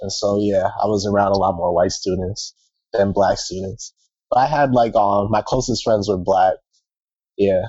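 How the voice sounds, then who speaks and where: With fairly even intonation, the speaker uses an ordinary speaking voice at a moderate pace. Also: man, fairly low pitch for a man. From US, California and Maryland. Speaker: student, retreat participant. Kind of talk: casual group chat.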